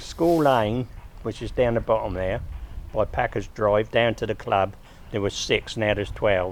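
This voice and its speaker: A man with a Sussex accent, medium pitch, moderate pace, ordinary pitch variation and long, frequent pauses. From Sussex, England. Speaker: local resident interviewee. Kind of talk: oral history interview.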